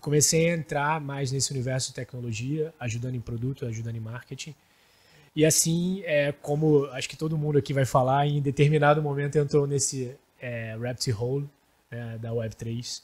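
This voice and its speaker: This man has a Rio de Janeiro accent and a somewhat breathy voice at fairly high pitch. He keeps a moderate pace and fairly even intonation, though his loudness swings a lot. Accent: carioca. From Rio de Janeiro, Brazil. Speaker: startup founder. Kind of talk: podcast panel chat. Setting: studio.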